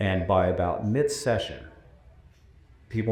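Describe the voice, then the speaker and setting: A man's voice carries audible room echo. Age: 60s. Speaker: former higher education commissioner. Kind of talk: panel discussion.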